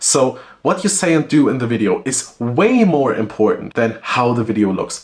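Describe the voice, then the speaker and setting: Over noticeable background noise, a man with a medium pitch talks at a moderate pace, hardly any pauses and very wide pitch swings. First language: German. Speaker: SEO and content consultant. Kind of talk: talking-head advice video.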